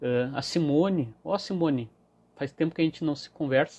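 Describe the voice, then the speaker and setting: This man's dark, mellow tone carries ordinary pitch variation. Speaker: emotional wellbeing coach. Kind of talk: live stream talk. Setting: Instagram live.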